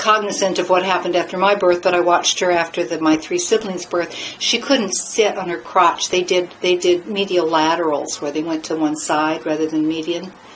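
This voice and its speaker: With an American accent, a woman speaks at a fairly quick pace and a fairly low pitch, with hardly any pauses, fairly even intonation and noticeable background noise. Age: 60s. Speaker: midwife and former nurse. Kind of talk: monologue to camera. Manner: halting, with fillers and restarts.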